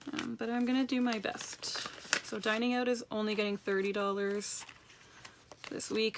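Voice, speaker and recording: A woman keeps her intonation fairly even while background noise remains noticeable. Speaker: personal finance vlogger. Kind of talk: casual vlog tutorial. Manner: fast.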